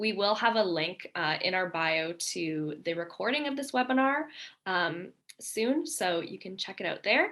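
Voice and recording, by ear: A woman's fairly bright voice at a medium pitch, fairly slow in pace, with ordinary pitch variation.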